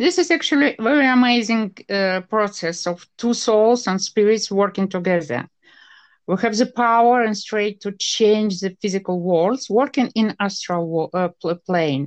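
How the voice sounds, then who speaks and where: A woman with an ordinary speaking voice talks fairly slowly at a medium pitch, with lively intonation. The background is quiet. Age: 50s. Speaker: parapsychologist and psychotherapist. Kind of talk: interview.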